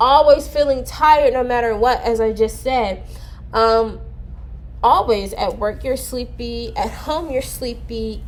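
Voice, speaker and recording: A woman speaking at a fairly slow pace amid audible room echo. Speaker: vlogger sharing mental health experience. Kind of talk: casual talk to camera about depression. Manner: slow at times; casual, hesitant with fillers.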